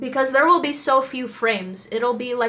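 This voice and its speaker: Over noticeable background noise, a woman speaks with a non-native accent. Her tone is animated and her pace moderate. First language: not English. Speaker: anime reaction youtuber. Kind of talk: casual chat.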